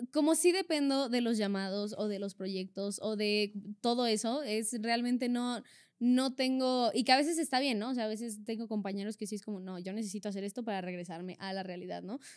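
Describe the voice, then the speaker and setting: Her voice is a plain, everyday voice, a woman's at a fairly high pitch. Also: ordinary pitch variation, fairly quick pace. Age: 20s. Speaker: actress. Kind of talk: casual chat.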